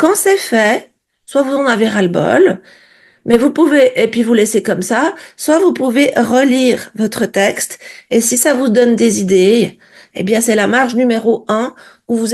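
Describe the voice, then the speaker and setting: An ordinary speaking voice from a woman, fairly high in pitch, with ordinary pitch variation at a fairly slow pace. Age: 60s. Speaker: vlogger. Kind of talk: casual video diary. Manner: conversational, direct address.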